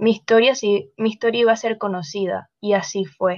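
A woman at medium pitch in a normal speaking voice, with fairly even intonation. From Panama. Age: 20s. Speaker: model. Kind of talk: interview.

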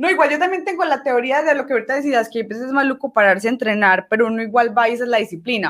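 A woman's high voice, very fast and with lively intonation. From Colombia, Medellín (Antioquia). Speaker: archer. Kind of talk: casual interview.

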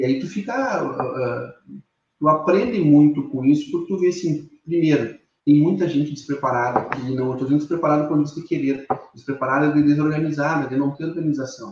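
A man talks at a fairly quick pace in a fairly high voice. His delivery is somewhat breathy, with ordinary pitch variation. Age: 30s. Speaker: furniture business owner. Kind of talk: interview. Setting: live stream.

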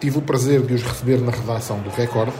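Fairly quick, fairly even-toned speech amid noticeable background noise and audible room echo. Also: man. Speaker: podcast host and sports journalist. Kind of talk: scripted narration.

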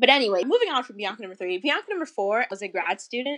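Over a quiet background, a woman with an American accent speaks in a bright, sharp tone. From Florida. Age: 20s. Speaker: student writer. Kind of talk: interview. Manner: animated.

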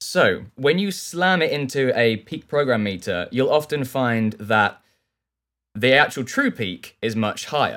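A man with a southern English accent speaks at a fairly slow pace and medium pitch, with very wide pitch swings. The recording is very clean, with a silent background. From southern England. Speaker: audio engineer and plugin developer. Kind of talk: interview.

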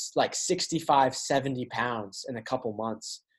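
A man speaks at a medium pitch with an American accent and ordinary pitch variation. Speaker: podcast host and author. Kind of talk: casual chat.

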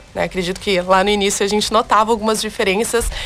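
A woman speaks over noticeable background noise. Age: 20s. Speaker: beauty pageant candidate. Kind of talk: radio interview.

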